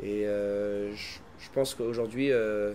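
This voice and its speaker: A man speaks in a fairly low voice. His intonation is monotone and flat. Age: 20s. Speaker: singer. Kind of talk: interview. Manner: halting, many fillers.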